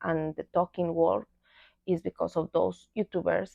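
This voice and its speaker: Moderate pace from a woman with a non-native accent. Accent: non-native English, pronunciation mistakes. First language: Spanish. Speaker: book vlogger. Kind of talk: casual vlog monologue. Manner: halting, with fillers and repeats.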